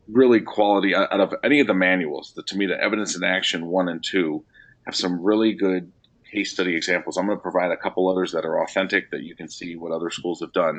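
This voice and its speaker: A man talks at a very fast pace with a very deep, low pitch and fairly even intonation. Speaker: education consultant leading a webinar. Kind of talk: webinar presentation. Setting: online webinar.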